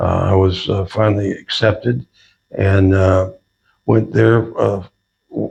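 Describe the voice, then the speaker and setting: Fairly even intonation runs through a somewhat breathy voice. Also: man. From Southern California. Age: 80s+. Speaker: retired sheriff's deputy. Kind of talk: interview. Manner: halting, with many fillers.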